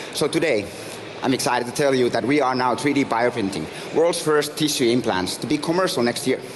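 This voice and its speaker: Over noticeable background noise, a man with a Finnish accent speaks fairly quickly at a medium pitch with ordinary pitch variation. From Finland. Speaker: startup founder and CEO. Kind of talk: pitch presentation.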